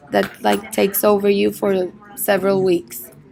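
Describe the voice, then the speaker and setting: A woman speaks with a Spanish accent. Noticeable background noise runs behind her. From Mexico, Monterrey. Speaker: medical student. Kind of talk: interview, English speaking practice. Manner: halting, with repetitions.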